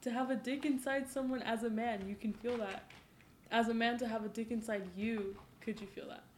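An unremarkable speaking voice moves at a fairly quick pace. Its intonation is fairly even. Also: woman, fairly high pitch for a woman. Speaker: guest. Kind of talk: casual chat. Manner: laughing, casual.

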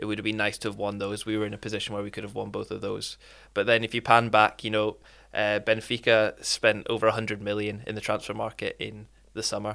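A man with a Glasgow accent speaks at a very fast pace in a fairly low pitch, his tone bright and sharp. His intonation is monotone and flat, and the recording is very clean with a silent background. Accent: Scottish, Glasgow. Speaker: football fan guest. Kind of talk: casual chat.

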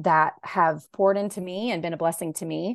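The speaker has a Southern US accent and fairly even intonation, heard over a quiet background. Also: woman. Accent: Southern American. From US South, Raleigh, North Carolina. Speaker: novelist. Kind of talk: interview.

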